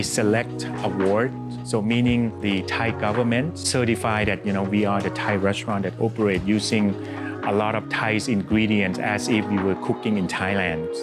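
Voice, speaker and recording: Clear music plays in the background as a man talks at a moderate pace. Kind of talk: interview answer. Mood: warm, proud storytelling. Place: cafe. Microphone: lapel.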